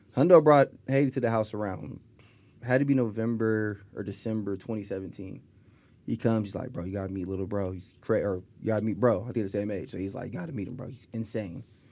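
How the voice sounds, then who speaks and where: This man has an American accent, a fairly low pitch and a dark, mellow tone. He talks very fast, with big swings in loudness. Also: ordinary pitch variation. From Stockton, California. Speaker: music producer. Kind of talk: casual chat. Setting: studio.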